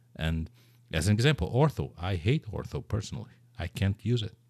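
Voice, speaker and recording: Somewhat breathy and fairly low in pitch, a man with a Portuguese accent speaks at a moderate pace on a very clean recording with a silent background. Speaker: podcast host. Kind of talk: casual interview.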